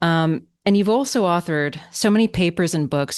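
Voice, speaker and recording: A woman talks at a moderate pace in an ordinary speaking voice, fairly low in pitch. Her intonation is lively, set against a quiet background. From Canada, Toronto. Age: 40s. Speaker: podcast host. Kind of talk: interview.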